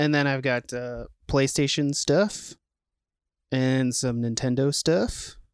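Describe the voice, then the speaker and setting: A man with an American accent speaks fairly slowly at a medium pitch, with fairly even intonation, in a plain, everyday voice. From Minnesota (Saint Paul). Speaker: podcast co-host. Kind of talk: casual chat. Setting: home basement game room.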